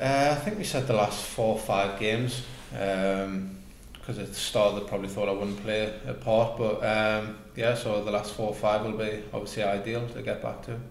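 Fairly low in pitch, a man speaks at a moderate pace with fairly even intonation, audible room echo, and light background noise. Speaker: guest. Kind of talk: interview answer. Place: home room.

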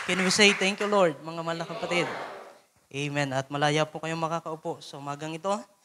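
A man's high voice with big swings in loudness over noticeable background noise. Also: moderate pace. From Philippines. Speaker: preacher. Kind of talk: sermon. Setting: church. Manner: animated, exhortative, call-and-response, pausing to ask the congregation to say amen; earnest, devout, fervent, pulpit delivery. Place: church.

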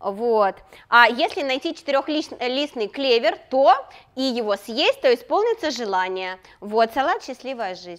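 Against a quiet background, a woman with a high pitch speaks at a fairly slow pace, with very wide pitch swings and big swings in loudness. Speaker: fashion designer. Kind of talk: casual chat. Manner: playful. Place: studio. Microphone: lapel.

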